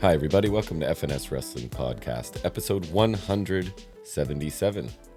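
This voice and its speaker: Music plays in the background as a man talks very fast. His voice is very deep and low, with lively intonation. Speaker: wrestling podcast host. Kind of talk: casual podcast conversation.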